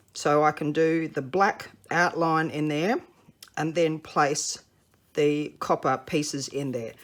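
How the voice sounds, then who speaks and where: A woman with an Australian accent and a very deep, low voice. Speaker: papercraft demonstrator. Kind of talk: tutorial.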